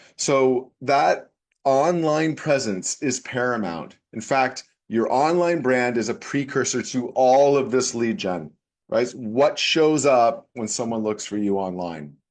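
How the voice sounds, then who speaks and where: Against a quiet background, a man with a slight Canadian accent talks at a very slow pace in a medium pitch with lively intonation. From Canada. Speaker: tech business consultant. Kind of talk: webinar presentation. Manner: animated.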